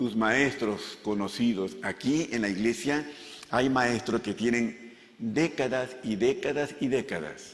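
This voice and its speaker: A man at medium pitch and a very slow pace, with ordinary pitch variation and audible room echo. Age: 70s. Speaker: pastor. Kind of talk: sermon.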